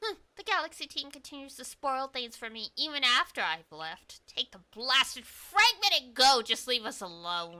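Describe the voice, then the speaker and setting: This female-sounding voice is a put-on character voice, pitched high with very wide pitch swings. It moves at a moderate pace with hardly any pauses. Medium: virtual streamer. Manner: sneering.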